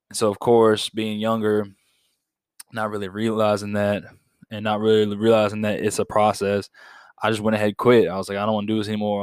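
On a very clean recording with a silent background and a dry, close sound without echo, a man speaks fairly quickly at a fairly low pitch in a monotone, flat intonation. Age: 20s. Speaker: podcast host, college student. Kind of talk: solo monologue podcast.

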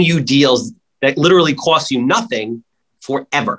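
A man talks at a moderate pace in a normal speaking voice. His intonation is lively. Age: 40s. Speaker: real estate investor. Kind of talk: casual interview.

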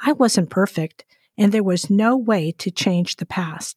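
In a very clean recording with a silent background and a dry, close sound with no echo, a woman speaks somewhat breathily. Her pace is fairly slow and her pitch variation ordinary. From Portuguese-speaking country, moved to US as child. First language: Portuguese. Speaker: author and ministry co-host. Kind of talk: reading aloud.

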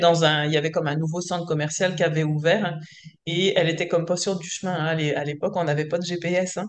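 In a fairly low pitch, a woman speaks with monotone, flat intonation. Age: 40s. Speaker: entrepreneur, coaching client. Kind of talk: casual chat.

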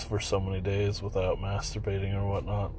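A man's somewhat breathy voice, dark and mellow in tone, moves at a moderate pace in a monotone, flat intonation amid audible room echo. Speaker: podcaster. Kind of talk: personal monologue. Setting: at daughter's practice.

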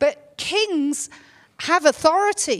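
A woman speaks with an English accent. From England. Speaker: pastor. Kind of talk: sermon. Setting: church.

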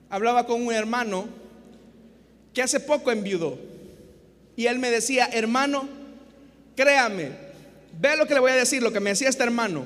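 A man with a Salvadoran accent at an extremely high pitch with ordinary pitch variation, a moderate pace and long, frequent pauses. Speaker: pastor. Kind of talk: sermon, expository preaching to a congregation and radio listeners. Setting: church with live congregation, also broadcast on radio. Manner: earnest, didactic, rhetorical; repeats 'hermanos y hermanas' and pleads with the audience.

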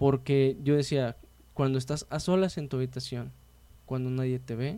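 The speaker is a man with a dark, mellow tone. He talks fairly slowly. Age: 20s. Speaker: podcast host. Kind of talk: casual interview chat.

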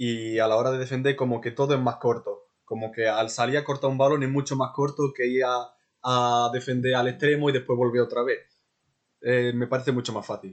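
This man speaks at a fairly quick pace in a medium pitch. His intonation is monotone and flat. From Ceuta. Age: 20s. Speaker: amateur footballer. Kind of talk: interview.

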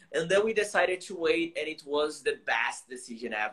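At a fairly quick pace, a man speaks in a bright, sharp tone. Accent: Brazilian. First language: Portuguese. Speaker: English teacher. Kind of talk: casual livestream chat, bilingual. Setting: live stream video call. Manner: animated, informal.

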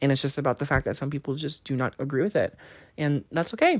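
Her pitch very deep and low, a woman speaks at a fairly quick pace. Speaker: podcast co-host. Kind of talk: casual chat. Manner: calm; soft.

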